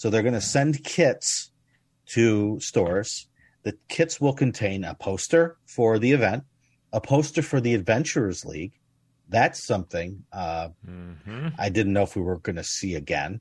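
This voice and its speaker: A man with an American accent talks in a normal speaking voice, pitched fairly low. His intonation is lively, and the background is quiet. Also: moderate pace. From United States. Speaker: tabletop game podcast host. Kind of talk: casual chat.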